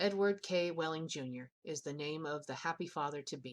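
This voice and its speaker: A woman uses a put-on character voice with a very deep, low pitch. It sounds hoarse, and she keeps a moderate pace. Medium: read story. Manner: sulky, bitterly sarcastic.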